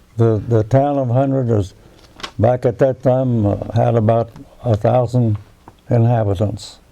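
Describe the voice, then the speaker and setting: A man with an American accent talks at a fairly slow pace and a medium pitch, with fairly even intonation. Long pauses come often, and background noise is noticeable. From West Virginia (northern, near Wheeling). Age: 90s. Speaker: war veteran. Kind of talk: oral history interview. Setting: at his home. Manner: halting, with false starts.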